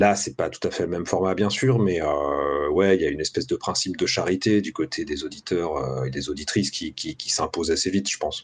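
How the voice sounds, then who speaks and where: Hardly any pauses break up this man's speech. He moves at a fairly quick pace. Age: 30s. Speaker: podcast host. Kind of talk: interview.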